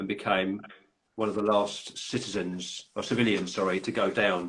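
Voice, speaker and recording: In a London accent, a man speaks at a moderate pace with monotone, flat intonation. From London, England. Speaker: podcast host and author. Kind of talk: casual chat. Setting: live video call. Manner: halting.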